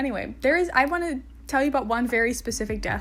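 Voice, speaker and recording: A woman speaks with music in the background. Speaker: gaming video creator. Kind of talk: casual voice-over commentary. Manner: chatty, informal.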